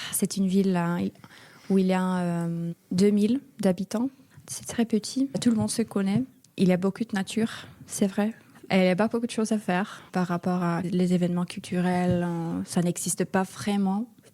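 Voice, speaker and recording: With a Finnish accent and a dark, mellow tone, the speaker talks at a moderate pace. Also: woman, medium pitch for a woman, ordinary pitch variation, very clean recording, silent background. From Finland, small town north of Helsinki. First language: Finnish (speaking French). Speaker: European volunteer. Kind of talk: interview. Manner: halting, hesitant.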